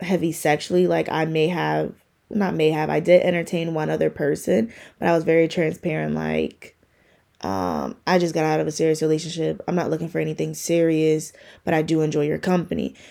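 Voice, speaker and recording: Over a silent background on a very clean recording, a woman's speech moves at a moderate pace. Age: 20s. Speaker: solo podcast host. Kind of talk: personal reflection, casual monologue.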